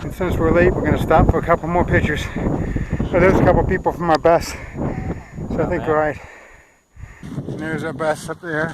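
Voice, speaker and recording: Against noticeable background noise, a man speaks fairly quickly in a fairly high pitch with monotone, flat intonation. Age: 50s. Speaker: travel vlogger. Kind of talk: casual chat. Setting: outdoors.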